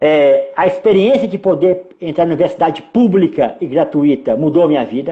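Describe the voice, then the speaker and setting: A man's high-pitched voice, lively in intonation, with hardly any pauses. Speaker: filmmaker. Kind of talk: interview. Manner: fast; clipped words.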